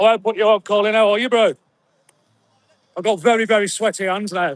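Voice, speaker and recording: Speaking at a fairly quick pace with long, frequent pauses, a man with a West Midlands accent and a high pitch keeps his intonation fairly even, captured in a dry, close sound with no echo. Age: 40s. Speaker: live streamer and protest organiser. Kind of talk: live stream street chat. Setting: outdoors at a protest outside a hotel. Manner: loud, shouting.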